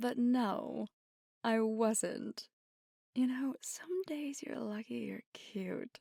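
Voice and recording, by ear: In a put-on character voice with a dark, mellow tone and vocal fry, the speaker goes at a very slow pace with long, frequent pauses, recorded dry and close with no echo. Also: woman.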